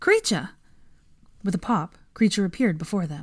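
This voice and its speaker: This woman's voice is somewhat breathy, with lively intonation. The recording is very clean, with a silent background. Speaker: audiobook narrator. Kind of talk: literary audiobook reading of fan fiction, narrated in third person.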